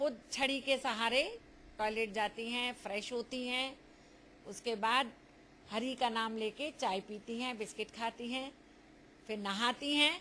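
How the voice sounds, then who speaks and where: Light background noise sits behind a woman speaking at a very slow pace with long, frequent pauses. Her fairly high voice has a bright, sharp tone and fairly even intonation. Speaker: family member of the elderly woman. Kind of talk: interview answer. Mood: warm, proud, smiling. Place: home room. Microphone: handheld.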